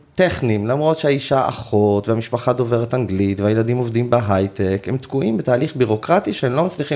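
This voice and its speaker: A man's normal speaking voice at medium pitch, with ordinary pitch variation and a fairly quick pace. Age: 40s. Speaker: end-of-life companion for assisted dying. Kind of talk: interview.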